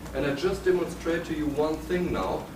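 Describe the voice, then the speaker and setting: A man speaks with a German accent. Noticeable background noise and audible room echo surround him. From Germany. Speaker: building biology lecturer. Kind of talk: seminar lecture with demonstration. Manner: halting.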